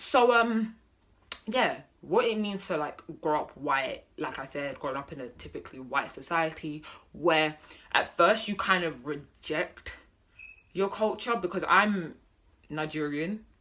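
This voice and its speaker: With a British accent, a woman speaks at a fairly slow pace, pausing long and often. Her pitch is fairly low, and her intonation is lively. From Britain. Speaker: vlogger. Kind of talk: casual vlog monologue. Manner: hesitant, many fillers.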